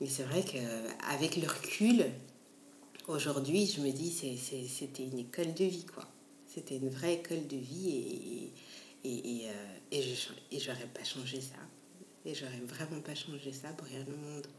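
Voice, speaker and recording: Amid audible room echo, a woman with a very deep, low pitch and ordinary pitch variation speaks at a fairly slow pace, her loudness swinging widely and her pauses long and frequent. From Belgium, Antwerp region. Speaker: restaurant co-founder. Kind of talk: interview. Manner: hesitant, many repetitions.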